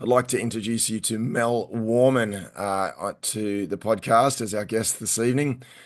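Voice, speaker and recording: A man's medium-pitched voice with an Australian accent, fairly even intonation and a moderate pace against a quiet background. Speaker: podcast host and event MC. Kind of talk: casual chat. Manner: halting.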